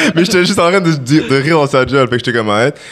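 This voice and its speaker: Against noticeable background noise, a man speaks very fast in an animated tone with ordinary pitch variation. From Quebec, Longueuil (Montreal area). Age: 20s. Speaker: rapper. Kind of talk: casual chat.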